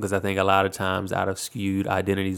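A man with an American accent has a plain, everyday voice at a fairly low pitch. He speaks at a moderate pace on a very clean recording with a silent background. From Virginia, US. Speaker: music producer and recording artist. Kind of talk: interview. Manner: casual with frequent fillers.

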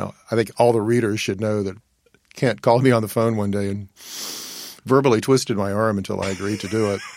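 Speaking with an American accent, a man with a fairly low pitch talks at a very fast pace, his intonation fairly even, broken by long, frequent pauses. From Virginia. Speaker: historian. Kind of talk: interview.

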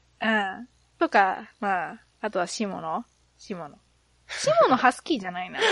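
A woman at medium pitch with an animated tone and lively intonation, moderate pace, long and frequent pauses, big swings in loudness, and a dry, close sound with no echo. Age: 30s. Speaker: podcast host. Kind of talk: casual chat.

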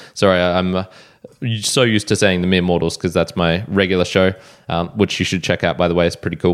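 A man with an Australian accent, very deep, low pitch and a very fast pace. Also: fairly even intonation. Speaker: podcast host. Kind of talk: solo podcast monologue.

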